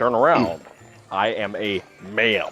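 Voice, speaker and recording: A man puts on a character voice. His pitch is medium, and his pace is fairly slow. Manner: indignant.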